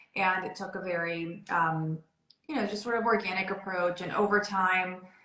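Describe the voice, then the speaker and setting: Through audible room echo, a woman of medium pitch speaks at a moderate pace with fairly even intonation. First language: Spanish. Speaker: interior designer. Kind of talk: interview.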